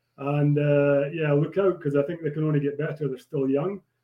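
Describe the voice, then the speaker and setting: A man's fairly high voice in a Scottish Borders accent, monotone and flat in intonation. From Scotland. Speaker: former rugby player. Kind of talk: casual chat. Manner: halting.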